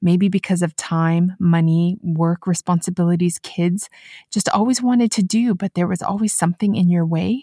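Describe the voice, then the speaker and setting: A woman with a fairly low, dark, mellow, somewhat breathy voice speaks with ordinary pitch variation and very even loudness in a very clean, dry, close recording with no echo and a silent background. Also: moderate pace. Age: 40s. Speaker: podcast host. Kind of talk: solo podcast monologue.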